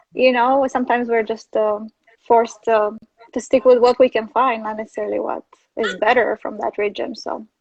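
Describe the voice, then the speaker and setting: At a fairly quick pace, a woman with a fairly high pitch talks in a monotone, flat way. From Romania. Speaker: travel photographer and writer. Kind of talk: interview answer.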